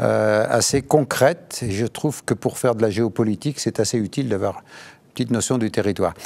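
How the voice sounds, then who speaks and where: At a fairly quick pace and medium pitch, a man talks with vocal fry, ordinary pitch variation and hardly any pauses. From France, Lyon. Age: 70s. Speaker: economist and political scientist, peace research director. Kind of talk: interview. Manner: hesitant, many filler sounds.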